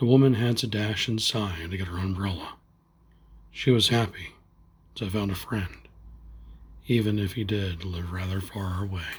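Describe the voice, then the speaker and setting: Soft-spoken and somewhat breathy, a man with a gentle tone and fairly low pitch speaks at a moderate pace with fairly even intonation and long, frequent pauses. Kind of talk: bedtime story reading. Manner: gentle, soft-spoken.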